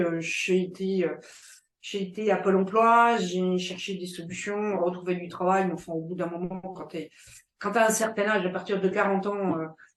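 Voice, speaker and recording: Intonation stays fairly even as a woman talks. She keeps a medium pitch and a fairly slow pace. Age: 60s. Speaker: entrepreneur. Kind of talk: interview. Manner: halting, many hesitations.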